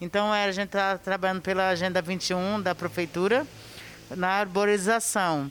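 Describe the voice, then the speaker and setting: A woman with an unremarkable speaking voice talks at a moderate pace and medium pitch, her intonation fairly even and her loudness very even. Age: 40s. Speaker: cleaner and painter. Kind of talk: testimony.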